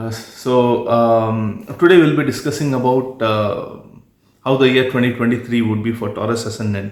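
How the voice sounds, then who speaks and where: A man speaks at a moderate pace with a medium pitch and fairly even intonation, with audible room echo. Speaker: astrologer. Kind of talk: video monologue.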